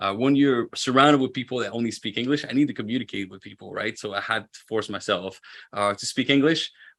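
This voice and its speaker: A man talks very fast at a medium pitch, with ordinary pitch variation and big swings in loudness, on a very clean recording with a silent background. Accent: French Canadian. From Quebec, French Canada. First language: French. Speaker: roofing business owner. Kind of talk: podcast interview.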